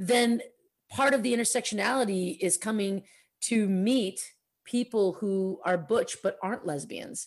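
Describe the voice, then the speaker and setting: Somewhat breathy and fairly high-pitched, a woman speaks in a Californian accent with ordinary pitch variation. The recording is very clean, with a silent background. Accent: general American, Californian. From Oakland, California. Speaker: podcast host. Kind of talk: casual chat.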